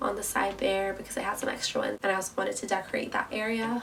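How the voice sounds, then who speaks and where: With noticeable background noise behind her, a woman of medium pitch talks at a fairly quick pace. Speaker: university student. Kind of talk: casual talk to camera, vlog tour.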